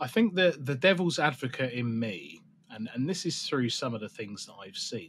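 With an English accent, a man talks at a moderate pace and medium pitch, his intonation lively and his loudness swinging widely. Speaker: podcast host. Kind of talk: casual chat.

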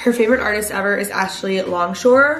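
There is audible room echo and light background noise. A woman speaks at a fairly quick pace. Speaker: vlogger. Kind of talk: casual vlog chat. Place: kitchen. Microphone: phone near.

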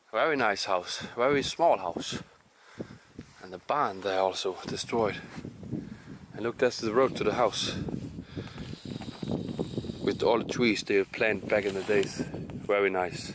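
Delivered at a fairly slow pace with long, frequent pauses, the speech has a dry sound with no echo and noticeable background noise. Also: man, ordinary pitch variation. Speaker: urban explorer vlogger. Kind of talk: casual vlog chat. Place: open country. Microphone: phone near.

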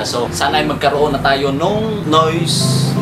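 A male speaker over background music. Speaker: vlogger. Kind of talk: casual vlog chat. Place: home room. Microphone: phone near.

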